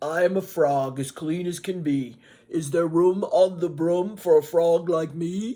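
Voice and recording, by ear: In a croaky, put-on character voice at a middle pitch, the speaker goes at a fairly slow pace.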